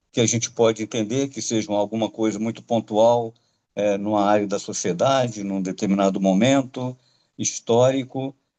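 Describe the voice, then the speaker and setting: A man's fairly low, dark, mellow voice with fairly even intonation over a quiet background. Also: moderate pace. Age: 70s. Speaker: lecturer. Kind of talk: lecture. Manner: halting, with many filler hesitations.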